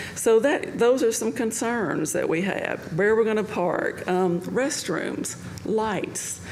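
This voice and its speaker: A woman with a fairly high voice speaks at a very slow pace, with audible room echo and noticeable background noise. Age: 60s. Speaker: public commenter. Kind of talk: public comment.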